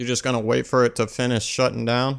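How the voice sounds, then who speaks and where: A man with a Louisiana accent, fairly quick pace and monotone, flat intonation, in a very clean recording with a silent background. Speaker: gaming YouTuber. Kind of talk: tutorial. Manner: casual.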